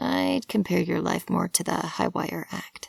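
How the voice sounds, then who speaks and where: A woman puts on a character voice, raspy and very deep and low in pitch, delivered at a fairly slow pace. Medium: read story. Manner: warm, sincere, gently amused.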